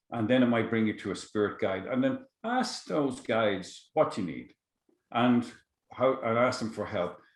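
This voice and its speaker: At a fairly quick pace, a man with an Irish accent speaks at a medium pitch. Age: 60s. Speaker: psychotherapist and shamanic teacher. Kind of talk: podcast interview. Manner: halting.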